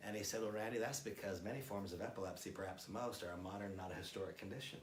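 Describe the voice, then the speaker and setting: Talking at a very fast pace with an American accent, a man with a fairly low pitch sounds somewhat breathy, with ordinary pitch variation and audible room echo. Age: 60s. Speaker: product trainer. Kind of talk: product training presentation.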